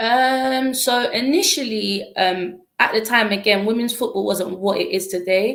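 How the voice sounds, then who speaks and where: A woman with a London accent and a fairly high pitch speaks at a fairly slow pace with ordinary pitch variation and hardly any pauses. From East London. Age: 20s. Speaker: former footballer and youth mentor. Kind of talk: interview.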